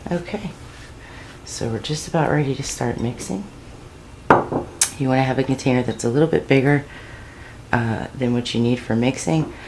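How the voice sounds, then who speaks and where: A woman with a very deep, low pitch and ordinary pitch variation speaks at a moderate pace. She pauses long and often, and there is noticeable background noise. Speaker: home cooking channel host. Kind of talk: cooking tutorial. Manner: casual, conversational.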